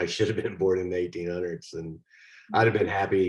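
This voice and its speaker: With a Texas accent, a man speaks in a very deep, low voice. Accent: Texas drawl. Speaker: actor. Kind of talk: interview.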